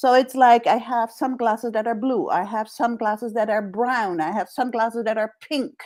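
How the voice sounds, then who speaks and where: Over a very clean recording with a silent background, a woman speaks with a Dutch accent at a moderate pace, at a fairly high pitch with ordinary pitch variation. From Netherlands. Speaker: executive coach. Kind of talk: interview conversation.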